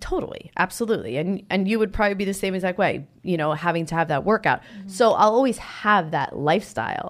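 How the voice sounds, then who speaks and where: Speaking in an American accent, a woman uses an animated tone at a fairly quick pace, her medium pitch showing ordinary variation. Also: very clean recording, silent background. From New Jersey. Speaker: fitness model and yoga teacher. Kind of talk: casual chat; guided meditation.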